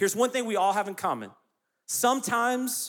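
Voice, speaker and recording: A man talks with a Southern US accent and ordinary pitch variation. His tone is bright and sharp. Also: very clean recording, silent background. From US South, South Carolina. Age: 30s. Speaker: youth pastor. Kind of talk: sermon.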